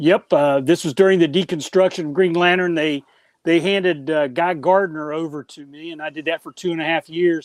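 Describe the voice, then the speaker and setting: A man with an American accent and a high voice, fairly quick and fairly even in intonation, with big swings in loudness, in a dry, close sound with no echo and a very clean, silent background. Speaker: comic book writer. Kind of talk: casual interview chat.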